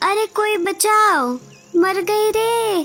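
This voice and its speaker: A squeaky put-on character voice from a woman, extremely high in pitch, with music in the background. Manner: desperate, pleading for rescue.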